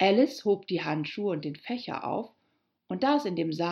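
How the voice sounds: A natural reading voice carries lively intonation. Nothing much stirs in the quiet background.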